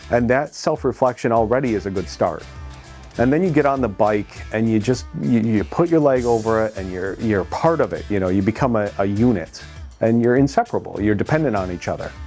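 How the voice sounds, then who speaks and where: Over music in the background, a man with a New York State accent and a medium pitch talks at a fairly quick pace with very wide pitch swings. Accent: American (New York State). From upstate New York, USA. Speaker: motorcycle rider. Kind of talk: interview answer. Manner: casual, conversational.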